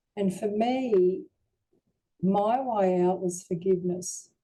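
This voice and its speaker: A woman's dark, mellow voice at a medium pitch, with an Australian accent, at a fairly slow pace. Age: 70s. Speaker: near-death experiencer. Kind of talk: testimony.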